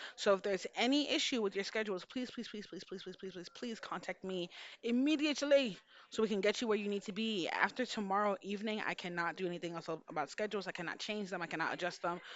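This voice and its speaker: A woman talks at a very fast pace. Her medium pitch shows ordinary variation. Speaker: homeroom teacher. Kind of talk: video announcement to students. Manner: casual.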